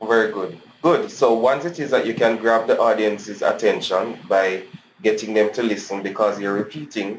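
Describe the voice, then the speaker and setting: His pitch varies in the usual way. The man's voice sits at a medium pitch. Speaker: teacher. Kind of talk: online class lecture. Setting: webinar. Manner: fast.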